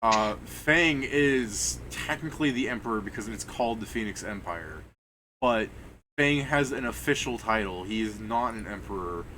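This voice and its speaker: The voice has a bright, sharp tone with vocal fry, moving at a moderate pace with ordinary pitch variation amid audible room echo. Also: man, medium pitch for a man. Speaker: game master. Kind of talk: tabletop game session. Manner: casual, halting.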